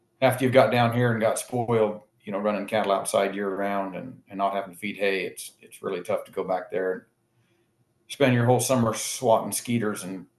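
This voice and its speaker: Fairly low-pitched man at a fairly quick pace, fairly even intonation, with audible room echo. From Jordan Valley, Oregon / Owyhee County, Idaho; Oregon. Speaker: rancher and livestock auction owner; guest. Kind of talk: casual chat. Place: office. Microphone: video call.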